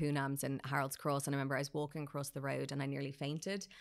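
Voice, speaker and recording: This woman speaks very fast with an Irish accent, her pitch very deep and low. Her intonation stays monotone and flat on a very clean recording with a silent background. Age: 30s. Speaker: PR agency founder. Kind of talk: casual chat. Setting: studio.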